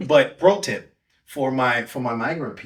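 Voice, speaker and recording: A man's somewhat breathy voice at a medium pitch. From Dominican Republic. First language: Spanish. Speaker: pastor. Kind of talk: podcast interview.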